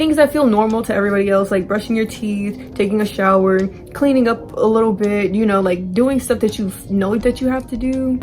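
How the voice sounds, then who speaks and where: Over music in the background, a woman talks fairly quickly in a medium pitch. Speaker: vlogger. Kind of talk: personal vlog talk. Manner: monotone; halting with many fillers.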